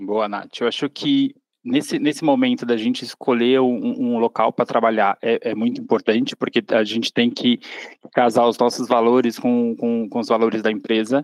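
In a dry, close sound with no echo, a man at medium pitch speaks at a moderate pace in a monotone, flat intonation. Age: 30s. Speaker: marketing intern. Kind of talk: interview conversation.

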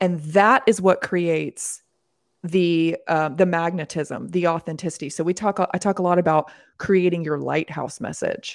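The speaker uses a normal speaking voice at a moderate pace with fairly even intonation. The recording is very clean, with a silent background. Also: woman, fairly low pitch for a woman. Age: 40s. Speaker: coach and academy founder. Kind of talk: casual interview chat.

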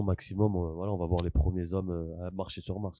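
Here a man has a very deep, low pitch and a dark, mellow tone. He talks at a moderate pace with monotone, flat intonation. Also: quiet background. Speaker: podcast co-host. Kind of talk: casual chat.

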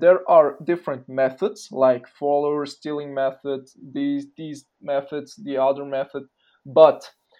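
Very slowly, a man speaks in a dark, mellow tone. His pitch is fairly high. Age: 20s. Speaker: social media page owner. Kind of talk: casual interview.

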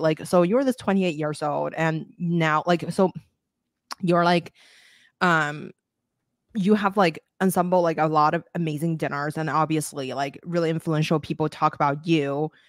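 A woman's normal speaking voice, fairly low in pitch, at a moderate pace with ordinary pitch variation, recorded very cleanly against a silent background with a dry, close sound and no echo. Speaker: podcast host. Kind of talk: casual interview. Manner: filler-heavy, casual.

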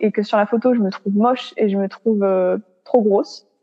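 A woman is speaking. Her pace is moderate. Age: 20s. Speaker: law student sharing eating disorder experience. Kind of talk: casual interview, personal testimony. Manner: halting, many hesitations.

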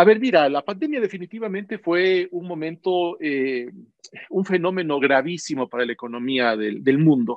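Moderate pace with hardly any pauses. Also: man, high pitch for a man. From Ecuador, Loja. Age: 40s. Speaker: business executive. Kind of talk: interview. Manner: hesitant, many fillers.

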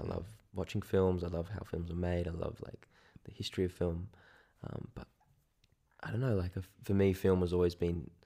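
A man with an Australian accent has a very deep, low pitch and a dark, mellow tone. He speaks with ordinary pitch variation and long, frequent pauses. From Sydney, Australia. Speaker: photographer. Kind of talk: casual chat.

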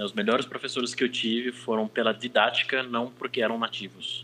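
A man speaks at a fairly quick pace. His pitch is medium and his tone bright and sharp. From Brazil. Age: 30s. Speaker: language teacher and interpreter. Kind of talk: casual chat.

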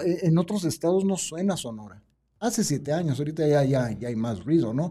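The voice is a man's, dark and mellow in tone. His intonation moves in a lively way. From Tijuana, Baja California, Mexico. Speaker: travel content creator and TV producer. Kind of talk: casual chat. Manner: animated.

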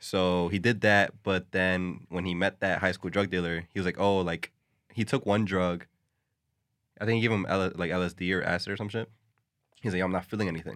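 A man's very deep, low voice, fairly quick and fairly even in intonation, in a very clean recording with a silent background. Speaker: podcast co-host. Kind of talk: casual chat. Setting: studio. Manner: close to the mic.

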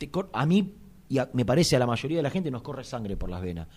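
Animated in tone, a man with a Rioplatense accent speaks at a medium pitch with very wide pitch swings. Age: 40s. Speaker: sports radio host. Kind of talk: casual chat.

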